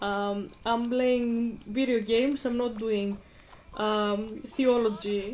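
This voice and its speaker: A woman with a Greek accent, at a very slow pace, with monotone, flat intonation and audible room echo. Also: fairly high pitch for a woman. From Greece (Athens). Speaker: gaming vlogger. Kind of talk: casual chat. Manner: halting.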